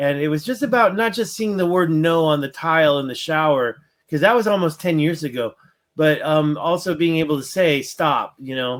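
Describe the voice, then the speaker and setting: On a very clean recording with a silent background, a man with a fairly high pitch and an ordinary speaking voice talks at a moderate pace with ordinary pitch variation. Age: 50s. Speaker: spiritual discussion panelist. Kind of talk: casual chat.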